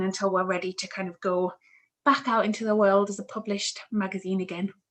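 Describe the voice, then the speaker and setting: A woman with a Newcastle accent talks at a fairly quick pace in a medium pitch. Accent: Newcastle (Geordie). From northern England, Newcastle. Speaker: PR account manager. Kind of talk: online talk interview. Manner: hesitant, many fillers.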